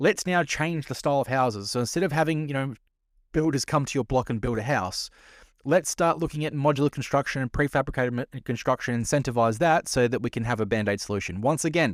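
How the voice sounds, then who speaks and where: In a very clean recording with a silent background and a dry, close sound with no echo, a man with an Australian accent talks at a very fast pace in a medium pitch with ordinary pitch variation. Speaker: podcast host. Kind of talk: casual commentary. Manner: sarcastic.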